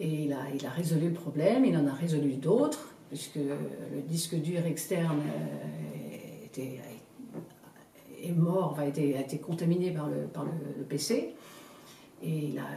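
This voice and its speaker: The woman's pitch is very deep and low. She talks at a fairly slow pace, with audible room echo. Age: 60s. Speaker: customer giving testimonial. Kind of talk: testimonial interview. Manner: halting, many repetitions and hesitations.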